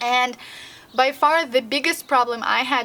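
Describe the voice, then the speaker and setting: A woman with a slight Russian accent speaks with ordinary pitch variation over noticeable background noise. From Russian-speaking country. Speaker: language learning vlogger. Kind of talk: vlog tutorial. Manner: casual with frequent fillers.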